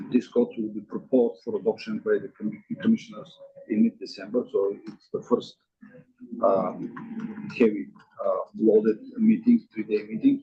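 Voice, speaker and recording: The man talks at a moderate pace. His speech is broken by long, frequent pauses. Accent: non-native. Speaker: state building code official. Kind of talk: staff report at public meeting. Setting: meeting room, streamed on Zoom. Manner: hesitant, many fillers. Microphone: too far from microphone, quiet on Zoom.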